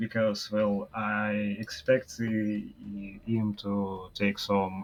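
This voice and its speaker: With a Russian accent, a man speaks at a fairly low pitch and keeps his intonation fairly even. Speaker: esports commentator. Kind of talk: live commentary. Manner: halting.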